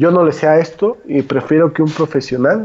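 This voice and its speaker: A man with a fairly high pitch speaks in a plain, everyday voice. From Mexico, Guadalajara. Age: 20s. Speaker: economist and political commentator. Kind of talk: casual political discussion.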